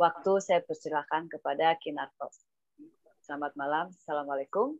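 Against a quiet background, a woman speaks at a moderate pace and a fairly low pitch with lively intonation, the sound dry with no echo. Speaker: webinar moderator. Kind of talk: moderating a webinar. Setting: video call. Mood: polite, warm. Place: home room. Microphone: earbuds.

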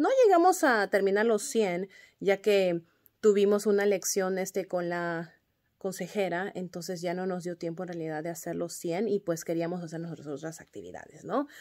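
At a moderate pace, a woman with an ordinary speaking voice shows ordinary pitch variation and big swings in loudness over a quiet background. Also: medium pitch for a woman. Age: 30s. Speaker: kindergarten teacher. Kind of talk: class update for parents. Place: classroom. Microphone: phone near.

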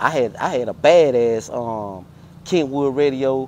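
The man's dark, mellow voice, with an American accent and ordinary pitch variation, sounds dry with no echo against light background noise. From Houston, Texas (Fifth Ward). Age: 40s. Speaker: car culture veteran, former street figure. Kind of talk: casual interview. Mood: relaxed, storytelling. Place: street.

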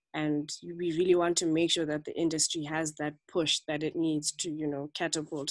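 Against a quiet background, a woman speaks in a flat monotone with a very deep, low pitch. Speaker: club member. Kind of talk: online club meeting. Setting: video call. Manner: faint. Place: home room. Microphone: video call.

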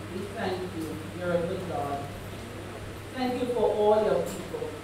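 A woman speaks at a moderate pace with ordinary pitch variation, amid strong room echo and noticeable background noise. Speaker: guest preacher. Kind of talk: prayer. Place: church.

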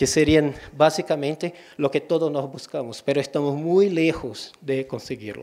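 A man's fairly high, dark, mellow voice at a fairly slow pace, with fairly even intonation and a quiet background. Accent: Portuguese. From Brazil, Ceará. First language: Portuguese (speaking Spanish). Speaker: librarian and digital curator; guest lecturer. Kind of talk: lecture. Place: hall.

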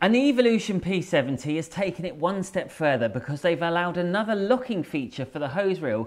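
Lively intonation marks this man's fairly quick delivery. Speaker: product reviewer. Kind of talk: product review presentation. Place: studio.

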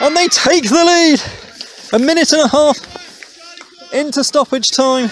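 The sound of the man's voice is dry with no echo, with light background noise. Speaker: match commentator. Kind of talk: live sports commentary. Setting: stadium match commentary.

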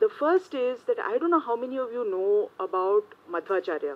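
With very wide pitch swings, a woman speaks at a moderate pace in a high pitch. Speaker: journalist. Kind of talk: panel talk. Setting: stage with audience. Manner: shy, nervous. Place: meeting room. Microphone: podium.

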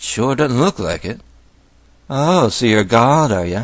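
This man's pitch leaps up and down dramatically. He keeps an even, middling tempo. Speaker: atheist video blogger. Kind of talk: scripted response video monologue.

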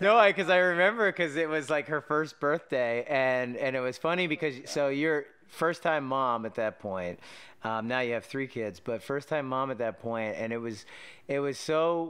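This man's intonation is lively, and he keeps a moderate pace. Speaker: podcast host. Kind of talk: casual interview conversation. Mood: warm, nostalgic storytelling. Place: home room. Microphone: studio mic.

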